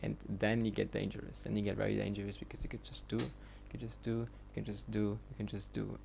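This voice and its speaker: Talking at a fairly quick pace, a man speaks with a German accent. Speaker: vlogger. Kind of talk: casual monologue. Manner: halting, many fillers; unscripted.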